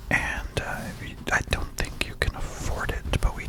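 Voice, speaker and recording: A man is whispering. Noticeable background noise sits behind him. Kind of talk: ASMR whispered ramble. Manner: whispered.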